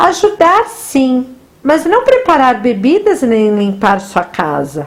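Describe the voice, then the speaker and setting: A put-on character voice at a fairly slow pace. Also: woman, high pitch for a woman. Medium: read story. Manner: whiny, sulky.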